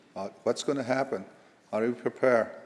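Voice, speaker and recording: Talking at a fairly quick pace, a man with an American accent keeps his intonation fairly even. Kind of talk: invocation address. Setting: legislative chamber. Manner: halting.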